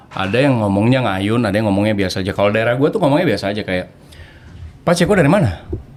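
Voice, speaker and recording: Very fast speech over noticeable background noise. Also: man, fairly low pitch for a man, lively intonation. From Papua, Timika. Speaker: actor and DJ. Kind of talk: casual chat.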